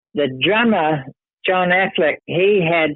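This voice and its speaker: Here a man speaks with a New Zealand accent. His pitch varies in an ordinary way. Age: 70s. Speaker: retired rock organist and songwriter. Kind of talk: interview. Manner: halting.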